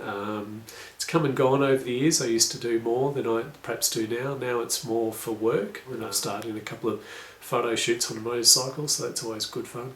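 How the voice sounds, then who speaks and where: With an Australian accent, a man of medium pitch talks fairly quickly amid noticeable background noise and audible room echo. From Australia, rural. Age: 40s. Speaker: adventure motorcycle tour operator. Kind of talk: video application / self-introduction. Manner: casual, with frequent fillers.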